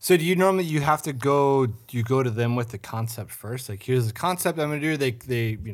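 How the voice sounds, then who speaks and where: A man with an Upper Midwest accent at medium pitch, lively in intonation, very fast with hardly any pauses, on a very clean recording with a silent background. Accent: Upper Midwest (Minnesota). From Minnesota, St. Cloud. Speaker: podcast host. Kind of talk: casual chat. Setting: studio.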